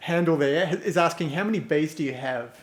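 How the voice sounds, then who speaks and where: A man with a slight New Zealand accent talks at a moderate pace, fairly high in pitch with ordinary pitch variation, over noticeable background noise. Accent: slight New Zealand twang. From New Zealand, North Island. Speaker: podcast host. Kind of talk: live-streamed interview. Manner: halting.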